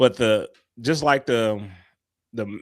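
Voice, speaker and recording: In a very clean recording with a silent background, a man talks with a Southern US accent. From US South, Little Rock, Arkansas. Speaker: podcast co-host. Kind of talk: casual chat.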